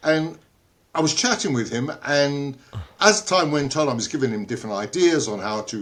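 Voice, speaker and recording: A man with a London accent, fairly high in pitch, at a moderate pace, with very wide pitch swings. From London, England. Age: 80s+. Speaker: inventor, entrepreneur and author. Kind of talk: interview answer. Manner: humorous.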